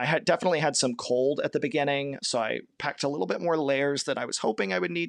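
Recorded dry and close with no echo, a man with an American accent talks at a fairly high pitch. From Kentucky. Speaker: long-distance hiker. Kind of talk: interview. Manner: halting.

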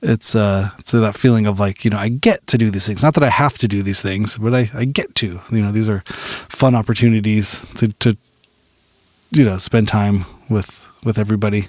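Recorded with a dry, close sound and no echo, a man with a fairly low pitch talks at a moderate pace. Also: fairly even intonation. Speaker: podcast host and musician. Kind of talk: casual interview chat. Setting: home garage studio. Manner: rambling, filler-heavy.

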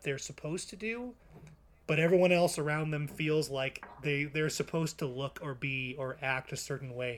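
A man with a fairly high pitch, ordinary pitch variation and a moderate pace. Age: 20s. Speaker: podcast co-host. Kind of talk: casual interview chat.

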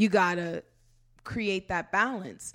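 Animated in tone, a woman speaks at a fairly slow pace. Her pitch varies in an ordinary way. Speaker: celebrity fitness trainer. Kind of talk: casual interview chat. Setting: studio. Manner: animated, humorous.

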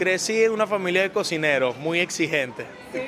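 Moderate pace and ordinary pitch variation from a man, with noticeable background noise. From Venezuela. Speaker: restaurant owner. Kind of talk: interview.

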